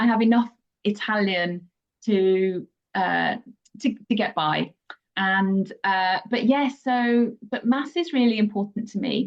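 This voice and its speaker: This woman has a British accent and a fairly high pitch. Her pitch varies in an ordinary way, and her pace is very slow. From England. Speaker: pilgrimage guide. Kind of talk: interview conversation. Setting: podcast.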